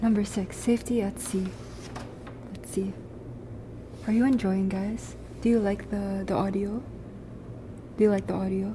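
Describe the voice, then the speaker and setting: Noticeable background noise sits behind a woman speaking at medium pitch and a moderate pace. Her intonation is monotone and flat, with long, frequent pauses. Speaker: streamer. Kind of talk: casual chat.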